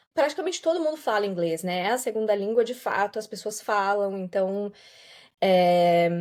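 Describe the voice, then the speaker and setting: In an ordinary speaking voice, a woman speaks at a moderate pace with medium pitch and lively intonation. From southern Brazil, Santa Catarina. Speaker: voice-over artist and yoga teacher. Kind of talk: podcast interview. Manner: relaxed, conversational.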